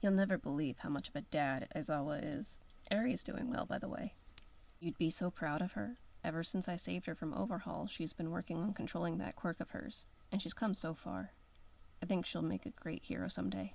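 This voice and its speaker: A gruff, put-on character voice sits at a middle pitch. It moves at a fairly quick pace. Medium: read story. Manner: gruff, swearing.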